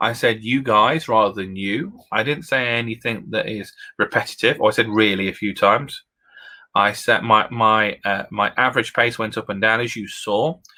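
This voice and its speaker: In a British accent, a man with a medium pitch and a bright, sharp tone speaks with ordinary pitch variation on a very clean recording with a silent background. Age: 30s. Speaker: education technology consultant. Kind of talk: presentation with live demo. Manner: fast; animated.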